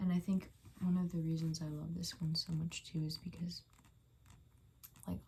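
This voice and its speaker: A soft-spoken woman talks at a moderate pace in a fairly low pitch. Her tone is dark and mellow, somewhat breathy. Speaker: ASMR creator. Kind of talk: ASMR soft-spoken rambling. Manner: casual rambling with fillers.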